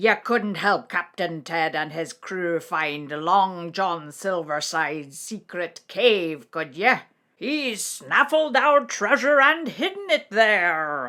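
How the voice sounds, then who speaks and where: A female-sounding put-on character voice speaks at a middle pitch and very slow pace with hardly any pauses. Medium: read story. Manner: clucking, squawking.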